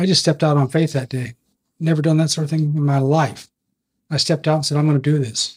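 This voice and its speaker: This man talks very fast in a fairly high pitch, with flat, monotone intonation. His voice is somewhat breathy. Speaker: podcast panelist.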